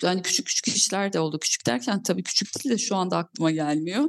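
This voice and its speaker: Moving fairly quickly, the speech comes in an unremarkable speaking voice. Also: woman. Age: 40s. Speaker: film and TV producer. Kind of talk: interview.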